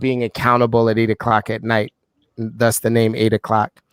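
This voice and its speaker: With a New York accent, a man speaks in a monotone, flat intonation. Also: dry, close sound with no echo. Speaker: leader of a real estate accountability group call.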